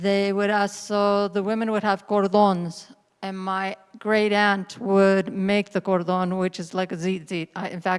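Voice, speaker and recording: A woman talks at a fairly slow pace and medium pitch, keeping her intonation fairly even. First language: Spanish. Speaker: storyteller. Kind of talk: personal testimony. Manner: halting, with many fillers.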